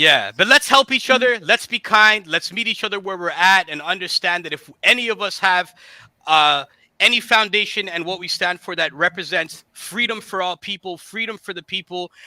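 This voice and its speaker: A raised, projected voice with a bright, sharp, animated tone, big swings in loudness and ordinary pitch variation at a moderate pace, in a very clean, dry, close recording with no echo and a silent background. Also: man, high pitch for a man. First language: Bengali. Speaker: co-founder and hip hop artist hosting a livestream. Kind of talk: casual livestream talk. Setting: livestream.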